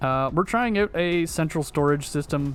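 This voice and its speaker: Over music in the background, a man talks at a moderate pace with lively intonation. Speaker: video game streamer. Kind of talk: gameplay livestream commentary.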